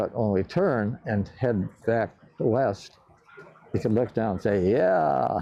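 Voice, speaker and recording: A man with a Midwestern accent speaks at a very slow pace in a fairly low pitch, his tone dark and mellow and his loudness very even. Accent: American Midwest. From Cleveland, Ohio. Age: 80s+. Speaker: World War II bomber pilot. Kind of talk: interview answer. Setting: museum hangar.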